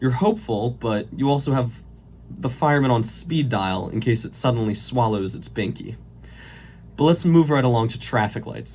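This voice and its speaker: A man talks at a moderate pace in a medium pitch, with ordinary pitch variation. His voice is somewhat breathy. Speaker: college student. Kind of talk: late-night comedy monologue parody. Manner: stuttering, voice cracks.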